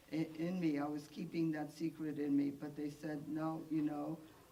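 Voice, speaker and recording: Against audible room echo, a woman speaks with a very deep, low pitch and fairly even intonation. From Poland. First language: Polish and Yiddish. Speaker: Holocaust survivor. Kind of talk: testimony. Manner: halting, many fillers.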